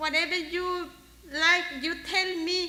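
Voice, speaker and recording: A woman projects a raised voice at an extremely high pitch, with a bright, sharp tone. She speaks at a very slow pace amid audible room echo. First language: Spanish. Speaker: worker speaking at memorial. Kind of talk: eulogy. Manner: halting.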